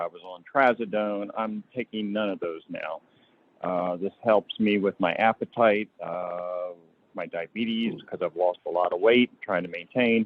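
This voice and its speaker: An ordinary speaking voice: a man at a fairly low pitch and moderate pace with fairly even intonation. His loudness swings widely. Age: 60s. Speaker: public commenter. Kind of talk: public comment.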